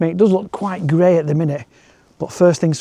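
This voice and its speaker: A man with a Yorkshire accent speaks in a dark, mellow tone at a fairly high pitch. His intonation is fairly even, and the sound is dry and close with no echo. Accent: northern English (Yorkshire). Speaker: landscape photographer and vlogger. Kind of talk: walk and talk vlog. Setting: outdoors at night.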